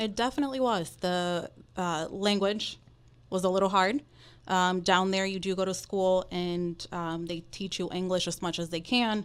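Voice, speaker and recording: A woman with a Dominican accent talks at a medium pitch and a moderate pace, with ordinary pitch variation. The recording is very clean, with a silent background. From Dominican Republic. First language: Spanish. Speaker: mortgage professional. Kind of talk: podcast interview.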